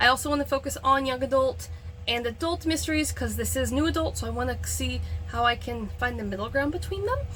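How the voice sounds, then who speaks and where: A woman talks at a fairly quick pace. Noticeable background noise is present behind her. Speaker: author and freelance editor. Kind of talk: casual vlog talk. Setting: filming in a backyard shed. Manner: fast.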